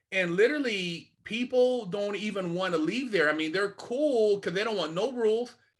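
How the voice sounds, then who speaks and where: Ordinary pitch variation at a moderate pace. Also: man, high pitch for a man. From Sacramento, Northern California. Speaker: former inmate, mentor. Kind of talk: interview. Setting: video call. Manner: blunt, straight-talking.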